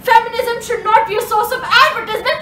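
A woman talks at a fairly quick pace, with audible room echo and light background noise. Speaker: slam poet. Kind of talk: slam poetry performance. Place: home room. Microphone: phone near.

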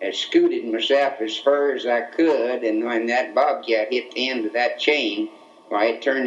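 Light noise sits behind a man who talks at an unhurried, moderate speed. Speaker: grandfather storyteller. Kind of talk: casual storytelling. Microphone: old recording.

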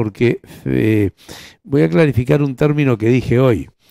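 Recorded dry with no echo against a quiet background, a man speaks at medium pitch in a dark, mellow tone. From Uruguay. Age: 60s. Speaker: politician. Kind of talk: interview. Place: studio. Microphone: lapel.

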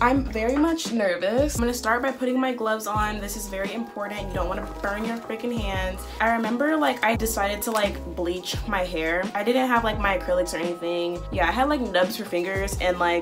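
Against clear music in the background, a woman talks at a fairly quick pace with hardly any pauses. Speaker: hair care vlogger. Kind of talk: casual tutorial vlog chat. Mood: nervous, playful. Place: home room. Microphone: phone near.

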